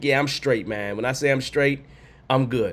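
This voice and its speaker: A man puts on a hoarse character voice at a medium pitch. He keeps a moderate pace with fairly even intonation. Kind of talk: casual, reassuring.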